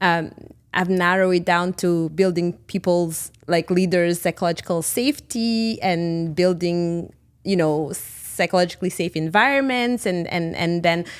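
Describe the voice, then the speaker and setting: Someone with a Burundian accent speaks at a fairly slow pace with ordinary pitch variation on a very clean recording with a silent background. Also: woman, fairly low pitch for a woman. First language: Kirundi. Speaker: leadership coach and consultant. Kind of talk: podcast interview. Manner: halting.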